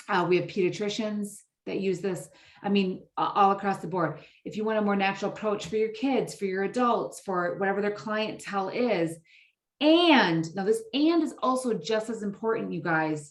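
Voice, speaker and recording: A woman at medium pitch, with lively intonation and a moderate pace. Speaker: host of a wellness sales webinar. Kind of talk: sales training talk on a live event. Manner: emphatic, repetitive.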